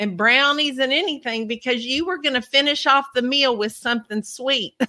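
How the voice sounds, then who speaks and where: A woman with a Southern US accent speaks in a raised, projected voice at a high pitch. Her pace is moderate, with ordinary pitch variation. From Kentucky. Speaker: podcast host, cookie decorator. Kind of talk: casual interview chat.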